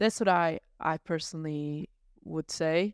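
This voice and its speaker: A woman with a slight Irish accent speaks at a very slow pace in a fairly low pitch. The recording is very clean, with a silent background. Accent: slight Irish twang. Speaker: photographer and filmmaker. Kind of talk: casual interview.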